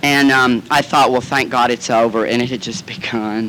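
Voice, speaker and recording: Over noticeable background noise, a man with a Southern US accent speaks at a moderate pace and medium pitch, with ordinary pitch variation. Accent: Southern American. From Southern United States. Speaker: actor and comedian. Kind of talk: recovery meeting talk. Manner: campy, comic storytelling.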